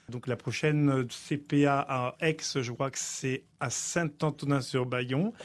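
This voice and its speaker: In a very clean recording with a silent background, a man speaks at a very slow pace. His voice is fairly high, with ordinary pitch variation. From Africa. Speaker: opera tenor. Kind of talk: radio interview.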